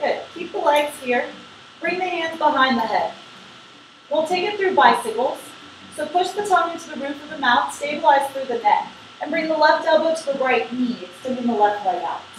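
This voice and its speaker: A woman with a high pitch and lively intonation at a fairly quick pace, with audible room echo and light background noise. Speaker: yoga instructor. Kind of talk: guided yoga class with brisk core-workout countdown cues. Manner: encouraging, upbeat coaching with short praise words. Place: home room. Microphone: camera far.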